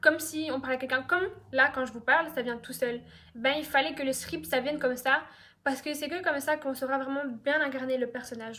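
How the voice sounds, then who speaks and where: A woman's raised, projected voice comes out high-pitched, with a bright, sharp tone. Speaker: YouTuber. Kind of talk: storytime monologue. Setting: at home on couch. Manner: fast; casual, many fillers.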